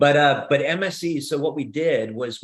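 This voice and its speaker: Speaking at a fairly slow pace with a New Jersey accent, a man shows ordinary pitch variation. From New Jersey, US. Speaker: inventor and company founder. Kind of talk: Q&A on a live video call. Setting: video call. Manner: hesitant, frequent fillers and restarts.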